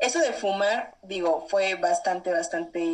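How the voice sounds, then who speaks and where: A woman with a Mexican accent, medium in pitch, speaking fairly slowly with lively intonation over noticeable background noise. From Mexico. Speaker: traveler. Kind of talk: interview.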